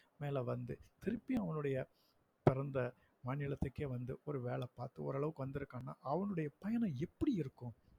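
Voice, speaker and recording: A man's somewhat breathy voice rises and falls with lively intonation in a dry, close recording with no echo. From Tamil Nadu, Virudhunagar district village. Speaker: school principal. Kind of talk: personal storytelling podcast monologue. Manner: casual, unpolished village speech.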